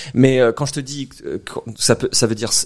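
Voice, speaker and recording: A man at a moderate pace. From France, Corrèze. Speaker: Pokémon translator, podcast guest. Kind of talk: casual podcast chat. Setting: recorded in a bar. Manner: hesitant, many fillers.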